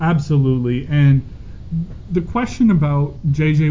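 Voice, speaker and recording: A man with a Canadian accent speaks at a fairly slow pace in a fairly high pitch. His voice is somewhat breathy, with fairly even intonation. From Calgary, Canada. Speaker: sports podcast co-host. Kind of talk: casual sports chat.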